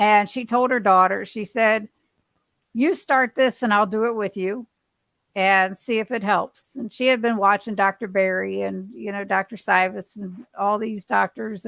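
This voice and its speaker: Here is a woman with an ordinary speaking voice, fairly high in pitch, talking at a fairly slow pace with fairly even intonation. The recording is very clean, with a silent background. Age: 60s. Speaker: keto dieter sharing weight-loss journey. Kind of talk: casual chat.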